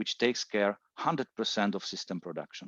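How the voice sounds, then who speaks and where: Against a quiet background, a man with a Czech accent talks at a moderate pace, his pitch fairly low and his intonation lively. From Czech Republic. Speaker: solar industry presenter. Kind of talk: webinar presentation. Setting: online webinar. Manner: hesitant, many fillers.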